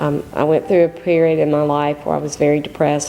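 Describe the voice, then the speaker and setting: With music in the background, a woman speaks at a very deep, low pitch. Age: 60s. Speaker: patient, pediatric nurse. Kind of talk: testimony.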